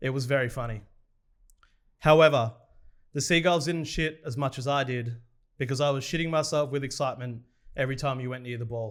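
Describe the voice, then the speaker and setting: Using an Australian accent, a man speaks at a fairly quick pace with a fairly high pitch, fairly even intonation, and long, frequent pauses. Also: very clean recording, silent background. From Australia, Victoria (Morwell). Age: 30s. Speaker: sports podcast host. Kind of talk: reading aloud.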